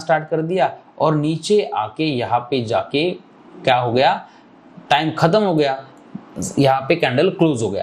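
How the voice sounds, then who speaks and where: This man speaks with a fairly high pitch. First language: Marathi (speaking Hindi). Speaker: trading teacher. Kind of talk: tutorial. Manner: casual, conversational with fillers.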